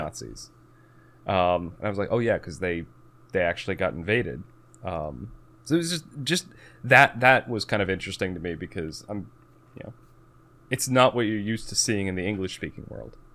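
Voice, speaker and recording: A man speaks at a fairly low pitch, with vocal fry and lively intonation. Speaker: podcast host. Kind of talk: podcast conversation.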